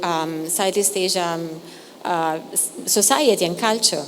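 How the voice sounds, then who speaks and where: A woman speaks with an Italian accent and ordinary pitch variation. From Italy. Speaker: curator. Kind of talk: artist talk introduction. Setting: gallery talk with audience. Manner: halting, many fillers.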